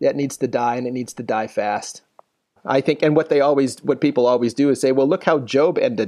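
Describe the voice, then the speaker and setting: With a dark, mellow tone at medium pitch, a man speaks fairly quickly and with fairly even intonation. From Philippines. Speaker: theology professor. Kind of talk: interview conversation.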